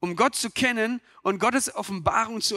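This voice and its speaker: Projecting his raised voice with a bright, sharp tone, a man speaks at a moderate pace with lively intonation, the sound dry and close with no echo. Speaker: preacher. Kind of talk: sermon to a church congregation. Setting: church with microphone and congregation. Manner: earnest, direct, addressing listeners as 'du'; conversational, with rhetorical questions and occasional stumbles.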